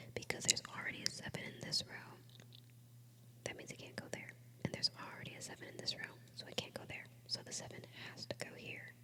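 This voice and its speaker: A woman whispers at a very fast pace but with long, frequent pauses. Background noise is noticeable. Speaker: ASMR creator. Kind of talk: ASMR puzzle-solving video. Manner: whispered; soft-spoken.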